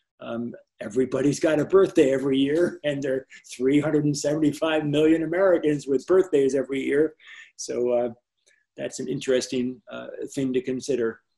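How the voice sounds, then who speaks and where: A man talks at a fairly quick pace in a dark, mellow tone, with fairly even intonation and long, frequent pauses. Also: fairly high pitch for a man. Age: 70s. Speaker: animator. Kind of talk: interview. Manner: halting.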